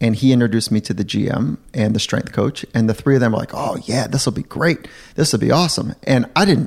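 A man with an ordinary speaking voice, medium pitch, lively intonation, a fairly quick pace and hardly any pauses. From Southern California. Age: 40s. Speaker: sports psychologist. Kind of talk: interview conversation.

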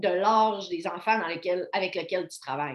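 A woman with an unremarkable speaking voice talks at a moderate pace and a medium pitch. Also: quiet background. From Quebec, Côte-Nord (Baie-Comeau). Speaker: physiotherapist. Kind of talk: casual interview.

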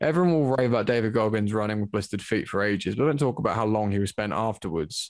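Speaking very fast in an English accent, a man uses a fairly low pitch with ordinary pitch variation on a very clean recording with a silent background. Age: 20s. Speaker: amateur MMA fighter. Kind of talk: casual chat.

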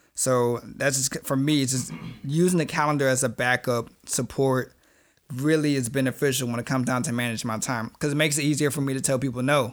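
On a very clean recording with a silent background, a man speaks fairly quickly at a medium pitch. He has an unremarkable speaking voice with fairly even intonation. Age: 20s. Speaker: podcast co-host. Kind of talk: casual chat.

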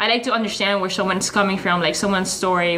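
A woman is heard through audible room echo and noticeable background noise. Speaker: podcast host. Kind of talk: casual chat.

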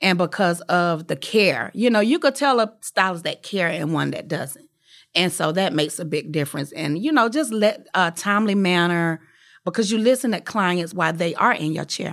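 On a very clean recording with a silent background, a woman with an unremarkable speaking voice talks at a fairly low pitch and a moderate pace with lively intonation. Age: 40s. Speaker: hairstylist and salon owner. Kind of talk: casual interview. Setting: studio.

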